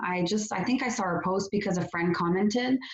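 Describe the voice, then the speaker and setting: A woman talks at a medium pitch with a slight French Canadian accent. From Quebec, Canada. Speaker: network marketing entrepreneur. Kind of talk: testimony. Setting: video call.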